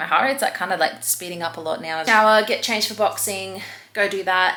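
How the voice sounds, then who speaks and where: The voice has a bright, sharp tone and moves at a fairly quick pace. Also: woman, medium pitch for a woman, ordinary pitch variation. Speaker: fitness vlogger. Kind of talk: casual vlog talk to camera. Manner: soft-spoken, quiet early-morning talk; speeding up from caffeine.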